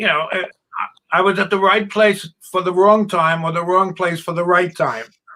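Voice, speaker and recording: A man speaks in a raised, projected voice with a high pitch and a bright, sharp tone. His intonation is fairly even and his pace moderate. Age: 80s+. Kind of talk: casual chat.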